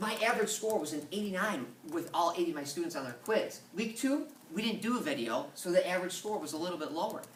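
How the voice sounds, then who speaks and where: Lively intonation and a very fast pace come through audible room echo and noticeable background noise. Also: man, high pitch for a man. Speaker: middle school science teacher. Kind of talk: presentation.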